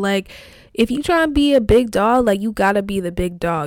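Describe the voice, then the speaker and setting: A woman with a fairly high voice speaks at a moderate pace in an animated tone with lively intonation. The recording is very clean, the background silent. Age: 20s. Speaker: solo podcaster. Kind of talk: casual monologue.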